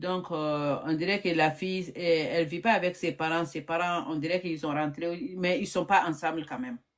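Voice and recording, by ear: A woman speaks at a moderate pace with a low pitch. Her intonation stays fairly even.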